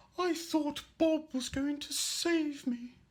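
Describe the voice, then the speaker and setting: Very slow pace in a put-on character voice with a high pitch. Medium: stage play. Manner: wry, put-upon.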